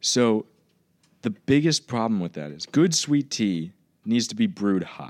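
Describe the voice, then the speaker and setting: Speaking at a fairly slow pace with an American accent, a man at medium pitch makes very wide pitch swings and big swings in loudness. The sound is dry and close with no echo, a very clean recording with a silent background. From Southwest Virginia, US South. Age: 20s. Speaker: college student, actor. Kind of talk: casual chat. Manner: animated.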